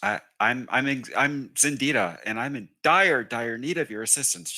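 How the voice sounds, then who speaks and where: A man's put-on character voice, squeaky and nervous in tone, at medium pitch and a moderate pace, on a very clean recording with a silent background. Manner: nervous, stammering, pleading.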